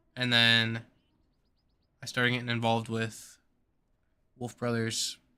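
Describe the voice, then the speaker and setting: Speaking at a fairly slow pace with long, frequent pauses, a man keeps a monotone, flat intonation at medium pitch in a bright, sharp tone. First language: not English. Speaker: gaming streamer. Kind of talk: live stream commentary. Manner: halting, many fillers.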